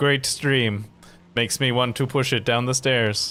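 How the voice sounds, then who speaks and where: In a put-on robotic character voice, a man speaks at medium pitch and a moderate pace. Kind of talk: monotone.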